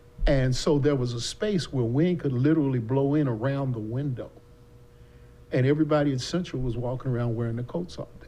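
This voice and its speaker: A man with an American accent at medium pitch, with ordinary pitch variation, a fairly quick pace and audible room echo. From US South. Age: 70s. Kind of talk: casual chat. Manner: talkative.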